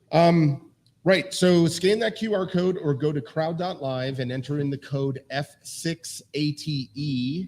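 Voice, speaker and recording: A somewhat breathy, fairly high-pitched man's voice. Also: ordinary pitch variation. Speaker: quiz show host. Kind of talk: quiz show explanation of rules. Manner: casual, many fillers.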